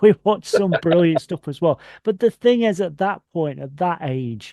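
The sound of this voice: A man with a fairly high voice speaks at a fairly slow pace, his intonation lively and his tone dark and mellow, in a dry, close sound with no echo.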